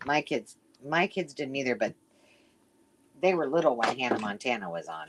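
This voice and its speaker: Vocal fry runs through a woman's very deep, low pitch as she talks at a moderate pace, her pitch swinging very widely between long, frequent pauses. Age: 50s. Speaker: crafter. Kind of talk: casual chat.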